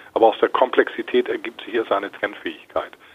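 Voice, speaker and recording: A man talks at a fairly quick pace. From northern Germany, Hamburg area. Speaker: asset manager and market analyst. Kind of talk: interview.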